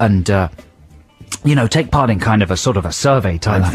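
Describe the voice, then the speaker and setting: Music plays behind the speaker. A man talks at a fairly quick pace, his intonation lively. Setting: radio show. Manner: sarcastic, dry, ironic.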